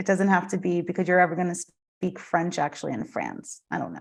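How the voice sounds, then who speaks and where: Speaking at a medium pitch, a woman keeps to a moderate pace. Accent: US Northeastern. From US Northeast (Vermont, southern New Jersey). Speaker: yoga teacher and studio owner. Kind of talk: casual chat.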